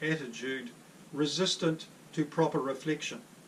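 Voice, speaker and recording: There is noticeable background noise behind this man. His pitch is high and his intonation fairly even. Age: 60s. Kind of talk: personal testimony. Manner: formal.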